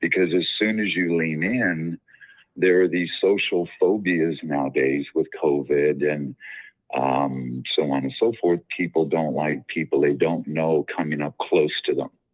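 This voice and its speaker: The speaker uses ordinary pitch variation at a fairly slow pace. Music plays in the background. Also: man, very deep, low pitch for a man. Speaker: caller. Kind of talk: casual chat. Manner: articulate.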